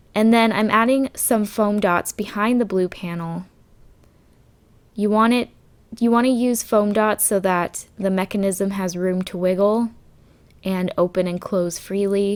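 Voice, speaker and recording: Speaking at a fairly slow pace with long, frequent pauses, a woman holds a medium pitch and fairly even intonation in a very clean recording with a silent background. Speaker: craft video creator. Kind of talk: tutorial.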